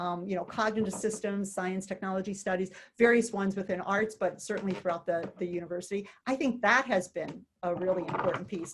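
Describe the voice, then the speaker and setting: Speaking in a normal speaking voice with an American accent, a woman talks at a fairly quick pace with a medium pitch and ordinary pitch variation. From US Midwest, St. Louis, Missouri. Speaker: retired economics professor. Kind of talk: interview conversation.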